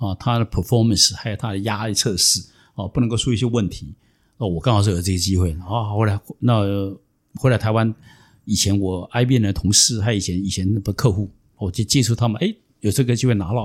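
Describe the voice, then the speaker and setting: In a very clean recording with a silent background, a man with a fairly low pitch and somewhat breathy voice speaks at a fairly quick pace with fairly even intonation. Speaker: venture capitalist and former executive. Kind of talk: interview storytelling.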